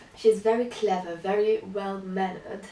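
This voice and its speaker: In a non-native accent, a woman speaks at a moderate pace with medium pitch and monotone, flat intonation. Noticeable background noise and audible room echo surround her voice. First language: not English. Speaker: book vlogger. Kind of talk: casual book review monologue.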